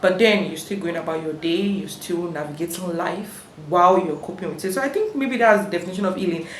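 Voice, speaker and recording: With audible room echo and noticeable background noise, a woman talks very fast with hardly any pauses, her fairly low voice showing ordinary pitch variation. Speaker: vlogger. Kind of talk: personal storytelling vlog. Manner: halting, many fillers.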